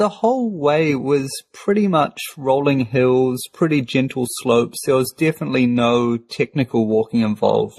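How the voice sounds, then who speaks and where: This man speaks with a New Zealand accent at medium pitch, with very even loudness and hardly any pauses, in a dry, close sound with no echo. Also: ordinary pitch variation, moderate pace. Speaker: podcast co-host. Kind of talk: casual chat.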